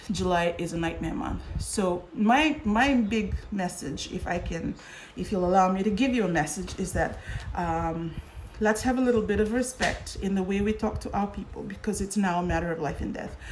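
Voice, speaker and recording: A woman speaks at a moderate pace with a medium pitch, and the room echo is audible. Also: ordinary pitch variation. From Fiji. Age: 40s. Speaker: current affairs host. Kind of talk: live social media talk show. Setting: livestream on social media.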